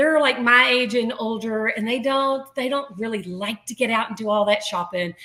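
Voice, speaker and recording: A woman talks with an unremarkable speaking voice and ordinary pitch variation. Her pitch sits fairly high. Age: 60s. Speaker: artist and business owner. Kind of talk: interview.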